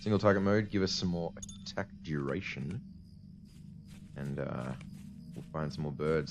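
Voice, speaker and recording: Over music in the background, a man with a very deep, low pitch talks at a moderate pace with ordinary pitch variation. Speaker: gaming video creator. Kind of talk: let's play commentary.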